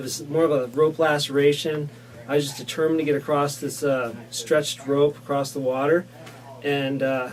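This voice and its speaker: A man speaks at a moderate pace in a fairly high pitch with monotone, flat intonation. Music plays in the background. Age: 30s. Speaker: ski resort worker. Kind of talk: casting video self-introduction. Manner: casual, with fillers.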